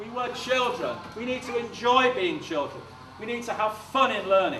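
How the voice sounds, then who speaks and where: With a British accent and a raised, projected voice, a man speaks at a moderate pace with an extremely high pitch and ordinary pitch variation, amid audible room echo and noticeable background noise. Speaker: education consultant giving a talk to teachers. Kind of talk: conference presentation. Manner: animated.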